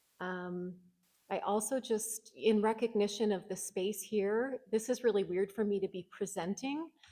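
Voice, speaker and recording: Soft-spoken with a Canadian accent, a woman uses a medium pitch, dark, mellow tone and ordinary pitch variation at a moderate pace. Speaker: social worker. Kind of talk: conference presentation. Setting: conference hall with audience.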